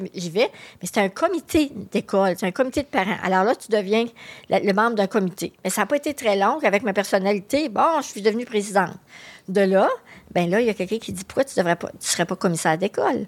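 A woman with a Quebec accent talks at a fairly quick pace and medium pitch. Her intonation is lively, and her loudness swings widely. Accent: Québécois French. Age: 60s. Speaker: magazine editor and association executive. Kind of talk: interview. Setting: studio.

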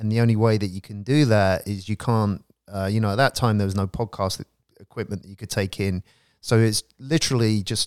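A man talks in an unremarkable speaking voice with fairly even intonation. His loudness swings widely, and the sound is dry and close with no echo. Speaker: professor and prison education founder. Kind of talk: casual interview conversation. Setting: home of guest, recorded live in Los Angeles.

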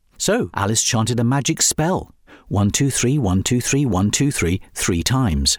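Lively intonation in a natural voice reading aloud

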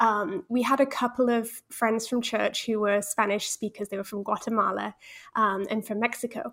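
Moderately paced speech in a British accent with fairly even intonation. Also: woman, fairly high pitch for a woman. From Holland, British parents. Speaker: Spanish resources founder and mother. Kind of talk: interview conversation.

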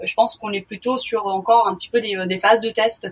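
This woman has a medium pitch. She talks at a moderate pace. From Sweden. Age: 20s. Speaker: fashion entrepreneur. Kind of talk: interview. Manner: halting.

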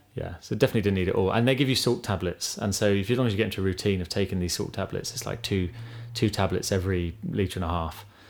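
Talking at a very fast pace with an English accent, a man uses a fairly low pitch with ordinary variation on a very clean recording with a silent background. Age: 30s. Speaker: podcast co-host and ultramarathon runner. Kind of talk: casual interview.

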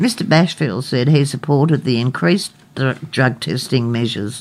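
Her pitch very deep and low, a woman with an Australian accent speaks at a fairly slow pace with lively intonation. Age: 60s. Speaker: radio co-host. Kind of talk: casual radio talk show.

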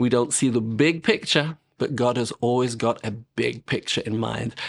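British-accented male speech with ordinary pitch variation. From England. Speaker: ministry director and author. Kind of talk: interview sharing testimony.

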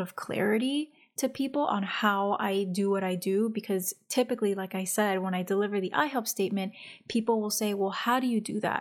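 A soft-spoken woman talks at a medium pitch with fairly even intonation. The recording is very clean, with a silent background. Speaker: podcast host and coach. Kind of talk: solo podcast monologue, casual coaching talk. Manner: soft-spoken, introverted by her own account.

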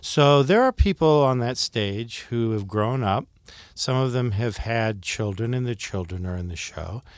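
Over a very clean recording with a silent background, a man speaks in a normal speaking voice at medium pitch, with ordinary pitch variation and a fairly slow pace. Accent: American. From Ohio, US Midwest (Akron). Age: 60s. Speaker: stage actor and theater director. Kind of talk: interview.

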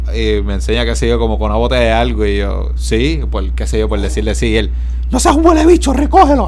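Against noticeable background noise and audible room echo, a man with a very deep, low pitch talks at a fairly quick pace in a monotone, flat delivery. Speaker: podcast co-host. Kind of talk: casual chat.

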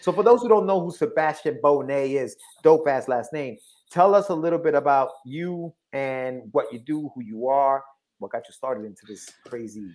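A man at a moderate pace, with big swings in loudness and very wide pitch swings, on a very clean recording against a silent background. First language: not English. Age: 40s. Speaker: podcast co-host. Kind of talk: casual chat. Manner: animated.

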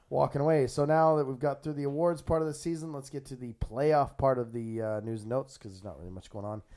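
Very fast male speech, fairly high in pitch, with ordinary pitch variation, big swings in loudness and hardly any pauses. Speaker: podcast host. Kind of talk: casual chat. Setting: studio.

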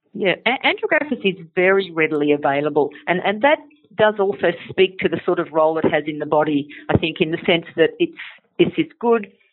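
Speaking at a fairly quick pace with an Australian accent, a woman uses a medium pitch and lively intonation. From Australia, Sydney. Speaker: naturopath and company educator. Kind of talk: interview.

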